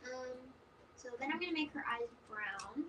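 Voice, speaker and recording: Soft-spoken and fairly high in pitch, a woman talks with ordinary pitch variation over noticeable background noise. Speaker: coloring artist. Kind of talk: tutorial. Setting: live stream. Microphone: too quiet.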